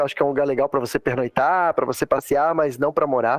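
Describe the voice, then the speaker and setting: The speech comes at a very fast pace. The sound is dry and close with no echo, though noticeable background noise is present. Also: man. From southern Brazil, Santa Catarina. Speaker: airline pilot. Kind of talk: casual interview.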